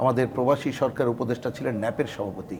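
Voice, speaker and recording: A man's voice amid noticeable background noise. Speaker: left-wing party politician. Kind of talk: talk show interview.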